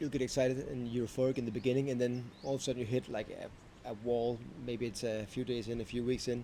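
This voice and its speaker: The speaker talks very fast with a Danish accent. The intonation stays monotone and flat. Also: man, medium pitch for a man. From Denmark. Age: 30s. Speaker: vlogger. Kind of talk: unscripted vlog monologue. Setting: talking to camera. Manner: halting, self-correcting.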